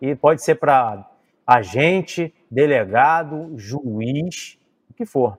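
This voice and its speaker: A man with an unremarkable speaking voice uses a fairly high pitch and lively intonation, recorded very cleanly against a silent background with a dry, close sound and no echo. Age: 40s. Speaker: civil police officer. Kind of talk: podcast interview. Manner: casual, slangy.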